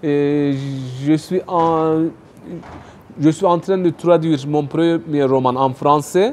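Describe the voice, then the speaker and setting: A man with a Turkish accent at a very slow pace, fairly high-pitched, with fairly even intonation and long, frequent pauses. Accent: non-native French, Turkish. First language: Turkish (speaking French). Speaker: writer and economics youtuber. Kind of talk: interview. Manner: hesitant, many fillers.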